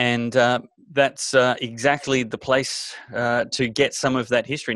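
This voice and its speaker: In an Australian accent, a man speaks at a medium pitch. The sound is dry with no echo, and the background is quiet. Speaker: talk show host. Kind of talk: interview. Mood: warm, appreciative. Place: home room. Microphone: studio mic.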